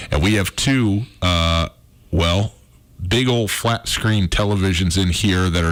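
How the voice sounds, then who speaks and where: This man's pitch sits very deep and low. He talks at a fairly slow pace. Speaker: sports radio host. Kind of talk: casual sports radio talk. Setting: radio studio. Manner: stuttering and stammering at times.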